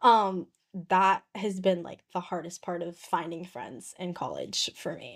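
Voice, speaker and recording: At a fairly slow pace, a woman speaks with fairly low pitch and ordinary pitch variation. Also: big swings in loudness, very clean recording, silent background. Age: 20s. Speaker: college intern. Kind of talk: casual chat. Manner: hesitant, many fillers.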